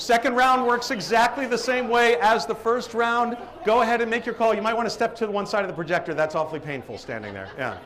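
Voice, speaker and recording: Amid noticeable background noise, a man with an American accent rattles along very fast with hardly any pauses, his extremely high voice showing ordinary pitch variation. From Boston, Massachusetts area. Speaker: professional live auctioneer and event emcee. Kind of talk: live event emcee running a crowd game. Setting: hotel ballroom with a crowd.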